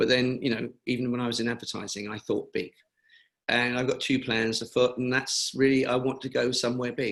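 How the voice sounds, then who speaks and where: In a British accent, a man at medium pitch speaks at a fairly quick pace with monotone, flat intonation. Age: 70s. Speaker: cancer charity founder. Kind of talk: webinar interview.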